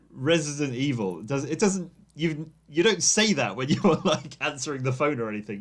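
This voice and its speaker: With an English accent, a man speaks at a moderate pace using lively intonation. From England. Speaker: podcast host. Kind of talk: casual chat.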